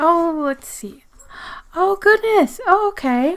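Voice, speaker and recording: This voice moves at a fairly slow pace with very wide pitch swings. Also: woman. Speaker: zine reviewer and vlogger. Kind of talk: casual mail-opening vlog. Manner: halting, flustered.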